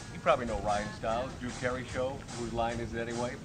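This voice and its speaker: A man's voice sits at a medium pitch. Behind it, music plays in the background. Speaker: radio show host. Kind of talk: comedic sketch intro.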